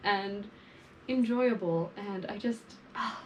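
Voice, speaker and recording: With noticeable background noise behind her, a woman speaks in an animated tone. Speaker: fashion vlogger. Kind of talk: casual monologue to camera.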